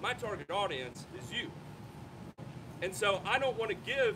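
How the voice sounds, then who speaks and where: Loud and at a moderate pace, a man speaks with very wide pitch swings over noticeable background noise. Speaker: lawn care YouTuber. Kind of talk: panel discussion. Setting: outdoors with audience.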